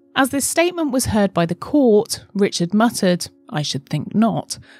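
Faint music plays behind a woman speaking at a fairly slow pace. The sound is dry, with no echo. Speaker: true crime narrator. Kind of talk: storytelling narration. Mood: grave, dramatic. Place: home room. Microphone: studio mic.

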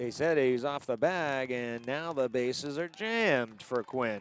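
With light background noise and a dry sound with no echo, a man speaks fairly slowly in a fairly high pitch with ordinary pitch variation. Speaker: baseball play-by-play announcer. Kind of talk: live sports commentary, play-by-play. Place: stadium.

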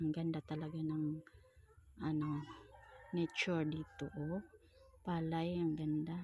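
A woman's very deep, low voice, monotone and flat, at a fairly slow pace with very even loudness and long, frequent pauses. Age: 40s. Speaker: vlogger. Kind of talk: travel vlog narration. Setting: outdoors, travelling by motorbike and on foot.

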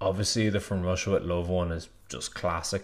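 The voice shows little pitch movement. It goes at a moderate pace. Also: man, low pitch for a man.

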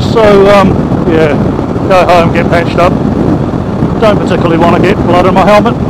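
A man at a very fast pace over loud background noise. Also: dry sound with no echo. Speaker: motorcycle rider vlogger. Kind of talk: casual vlog chat. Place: motorbike. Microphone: helmet.

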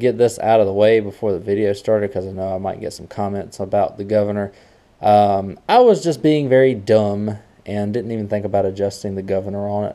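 Fairly quick in pace, a man talks at a fairly low pitch in a dark, mellow tone with fairly even intonation. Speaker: small mower repair channel host. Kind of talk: casual vlog chat. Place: garage. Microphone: phone near.

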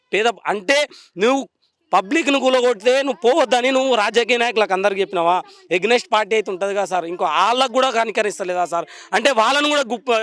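High-pitched for a man, his voice varies in pitch in an ordinary way. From Telangana, Vikarabad district. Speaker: demolition victim, resident. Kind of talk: emotional street interview. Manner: agitated, pleading.

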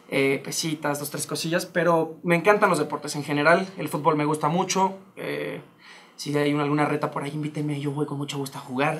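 Speaking at a fairly quick pace, a man with a Mexican accent uses a fairly high pitch and fairly even intonation. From Mexico. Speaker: stage actor. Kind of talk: casual interview chat. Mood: reflective, personal. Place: studio. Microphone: lapel.

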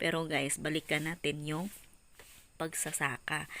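A woman speaks at a fairly slow pace in a very deep, low pitch. The recording is very clean, the background silent. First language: Cebuano (Bisaya) (speaking Tagalog). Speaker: vlogger. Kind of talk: casual vlog narration.

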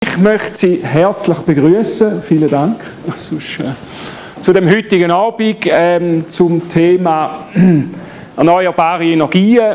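A man with a Swiss accent speaks very slowly in a high pitch for a man, with ordinary pitch variation, long, frequent pauses and light background noise. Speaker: solar energy company head. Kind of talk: public lecture. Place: hall. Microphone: camera far.

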